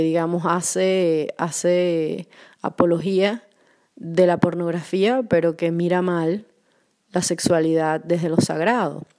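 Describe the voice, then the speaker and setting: A woman speaks very slowly at a fairly low pitch with fairly even intonation. The recording is very clean, with a silent background. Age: 40s. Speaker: podcast host. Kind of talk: solo reflective monologue.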